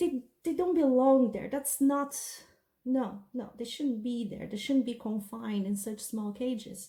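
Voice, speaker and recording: A woman with a non-native accent, high in pitch, with a dark, mellow tone, ordinary pitch variation and a fairly slow pace. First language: not English. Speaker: beauty and storytime vlogger. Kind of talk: casual storytime monologue.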